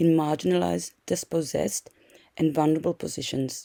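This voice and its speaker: Recorded dry and close with no echo, a woman speaks at a moderate pace in a dark, mellow tone. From South Africa. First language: not English. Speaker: social work lecturer. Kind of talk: lecture. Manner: halting, many fillers.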